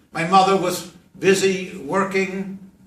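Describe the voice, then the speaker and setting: Speaking at a very slow pace, a man with a high pitch is heard with audible room echo. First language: Yiddish. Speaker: professor and rabbi. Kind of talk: classroom talk to students.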